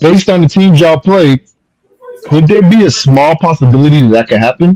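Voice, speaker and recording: Speaking fairly quickly with an American accent, a man keeps his loudness very even, his fairly high pitch varying in an ordinary way. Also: dry, close sound with no echo. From Bahamas. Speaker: podcast host. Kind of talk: heated debate.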